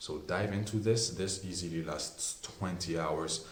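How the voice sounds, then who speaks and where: Amid noticeable background noise and audible room echo, a man with a very deep, low voice speaks at a moderate pace with fairly even intonation. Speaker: perfume reviewer. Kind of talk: product review.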